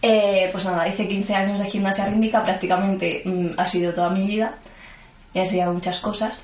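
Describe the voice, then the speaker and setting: Amid noticeable background noise and audible room echo, a woman speaks fairly quickly at a medium pitch with monotone, flat intonation. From Madrid, Spain (Vallecas). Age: 20s. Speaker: student and gymnastics coach. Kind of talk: interview.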